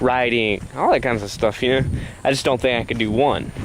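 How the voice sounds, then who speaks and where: Noticeable background noise surrounds a man's voice. He talks at a fairly quick pace with fairly even intonation. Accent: Southern US. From US South, South Carolina. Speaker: vlogger. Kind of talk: casual vlog monologue. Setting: outdoors, walking at night. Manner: hesitant, many fillers.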